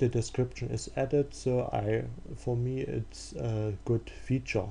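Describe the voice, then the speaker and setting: With a German accent, a man speaks at a very slow pace. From Germany. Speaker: software developer. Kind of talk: tutorial. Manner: halting, many fillers.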